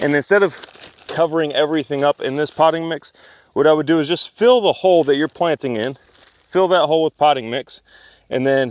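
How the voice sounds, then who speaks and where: Recorded in a dry, close sound with no echo, a man talks at a fairly high pitch with ordinary pitch variation. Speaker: permaculture consultant. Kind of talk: tutorial. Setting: outdoors. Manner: fast; casual, filler-heavy.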